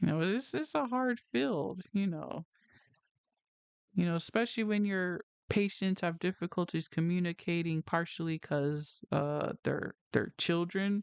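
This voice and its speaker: The woman's pitch sits fairly low. She speaks at a fairly slow pace over a quiet background. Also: dry, close sound with no echo. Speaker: video creator. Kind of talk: testimony. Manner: loud; talkative.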